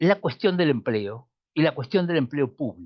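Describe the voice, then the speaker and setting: Very slowly, a man talks at a fairly high pitch. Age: 70s. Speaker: economist and postgraduate lecturer. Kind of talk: lecture.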